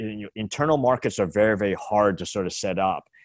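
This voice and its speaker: On a very clean recording with a silent background, a man talks in an ordinary speaking voice at a fairly quick pace, with a fairly low pitch and ordinary pitch variation. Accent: Canadian. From Canada. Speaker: tech investor. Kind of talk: casual interview.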